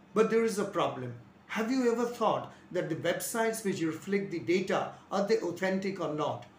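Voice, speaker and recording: There is audible room echo and light background noise as a man speaks in a high voice. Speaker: physics teacher. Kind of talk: lecture. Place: home room. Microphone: lapel.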